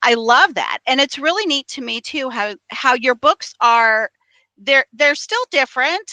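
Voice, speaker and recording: A woman speaks in a raised, projected voice with a high pitch and a bright, sharp tone. Her intonation is lively, her pace fairly slow, and the sound is dry and close with no echo. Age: 50s. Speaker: podcast host. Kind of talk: interview.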